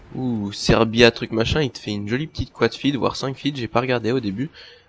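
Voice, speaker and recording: Over noticeable background noise, a man speaks at a fairly quick pace with medium pitch and ordinary pitch variation. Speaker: gaming youtuber. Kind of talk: gameplay commentary. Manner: animated.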